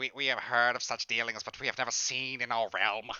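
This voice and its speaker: Using a put-on character voice, a man speaks at a medium pitch and a fairly quick pace with monotone, flat intonation. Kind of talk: formal, archaic.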